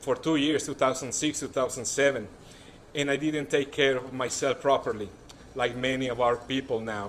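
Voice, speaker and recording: A man with a strong Mexican accent speaks at a fairly quick pace in fairly even intonation. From Mexico City. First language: Spanish. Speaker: political candidate. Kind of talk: campaign speech. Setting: stage with audience.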